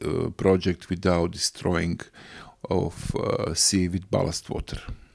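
In a Croatian accent, the speaker talks at a very slow pace with monotone, flat intonation in a very clean recording with a silent background. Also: man. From Croatia, Rijeka and island of Krk. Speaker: local environmental campaigner and businessman. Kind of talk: interview. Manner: halting.

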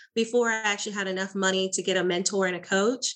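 Her tone comes across bright and sharp. The woman's pitch is medium. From small town in Florida. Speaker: real estate investor and coach. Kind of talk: interview.

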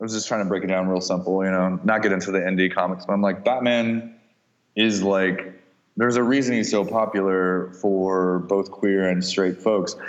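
Audible room echo surrounds a man with a fairly low voice. He speaks at a moderate pace in a flat monotone. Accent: Midwestern American. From US Midwest, Kansas City. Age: 40s. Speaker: artist. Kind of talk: casual chat.

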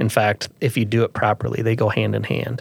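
In a Midwestern American accent, a man speaks at a fairly quick pace and a fairly low pitch, the sound dry and close with no echo. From Iowa, US Midwest. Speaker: farmer and farm organization president. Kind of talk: interview.

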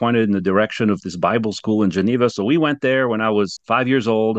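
With a French accent, a man speaks at a very fast pace. His medium pitch shows ordinary variation. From France. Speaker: ministry founder and president. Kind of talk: casual interview chat.

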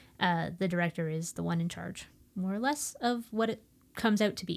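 The recording is very clean, with a silent background, capturing a woman at medium pitch. She has ordinary pitch variation and an unremarkable speaking voice. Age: 30s. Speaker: theater artist. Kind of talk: casual chat.

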